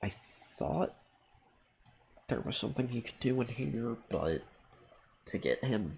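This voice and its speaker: Somewhat breathy and fairly low, a man speaks at a fairly slow pace with long, frequent pauses. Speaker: gaming streamer. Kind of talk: live game commentary.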